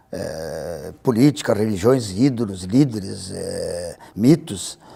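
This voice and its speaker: A man's dark, mellow voice shows vocal fry and very wide pitch swings. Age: 60s. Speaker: cartoonist. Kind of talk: interview. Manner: halting, frequent repetitions.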